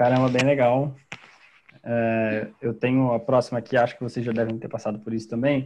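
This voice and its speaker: A man's medium-pitched voice stays monotone and flat at a moderate pace. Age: 20s. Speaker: engineering student, podcast co-host. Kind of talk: casual interview chat.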